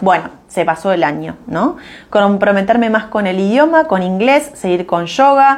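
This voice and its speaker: Moving at a fairly slow pace, a woman's voice makes very wide pitch swings. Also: medium pitch for a woman. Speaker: business mentor. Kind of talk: live stream talk. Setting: live stream. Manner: hesitant, many fillers.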